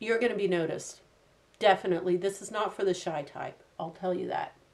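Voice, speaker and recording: A woman with a normal speaking voice, fairly even intonation, big swings in loudness and a fairly quick pace. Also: medium pitch for a woman. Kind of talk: casual beauty review to camera.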